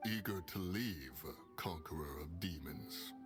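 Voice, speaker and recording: Clear music plays behind a man doing a put-on character voice, very deep and low in pitch, at a fairly slow pace. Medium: video game. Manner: formal, archaic.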